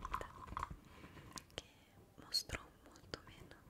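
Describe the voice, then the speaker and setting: A woman is whispering in a gentle tone. She is soft-spoken. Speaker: ASMR creator. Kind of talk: soft-spoken casual chat. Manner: soft close whisper, slow and gentle. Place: home room.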